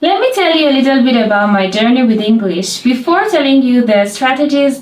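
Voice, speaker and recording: Noticeable background noise surrounds a woman talking at a fairly quick pace. Her high voice has lively intonation. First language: Persian. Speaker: language teacher. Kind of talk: tutorial.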